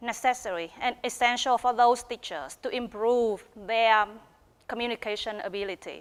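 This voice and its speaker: A woman with a Vietnamese accent, at a moderate pace. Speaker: teacher of English and PhD researcher. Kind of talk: research presentation.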